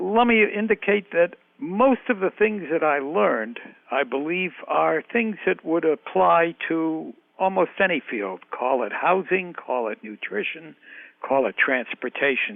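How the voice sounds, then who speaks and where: The voice moves at a fairly slow pace and makes very wide pitch swings. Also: man, high pitch for a man. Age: 80s+. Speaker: health economist, professor emeritus. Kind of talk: interview.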